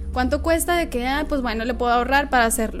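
A high-pitched woman's voice. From northern Mexico, Nuevo Laredo. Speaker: magazine founder and editor. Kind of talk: casual interview.

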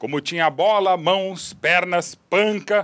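A man talks at a fairly slow pace in a bright, sharp tone. The recording is very clean and silent in the background, with a dry, close sound and no echo. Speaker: sports journalist. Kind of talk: tribute speech; casual chat.

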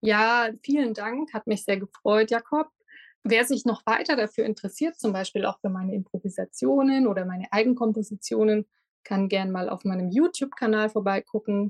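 A plain, everyday voice with ordinary pitch variation at a moderate pace, in a dry, close sound with no echo. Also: woman, fairly high pitch for a woman. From Lindau, Lake Constance, Bavaria. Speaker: harpist. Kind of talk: interview.

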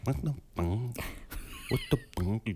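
A man puts on a character voice at a medium pitch. Clear background noise runs underneath. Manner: exasperated, shocked.

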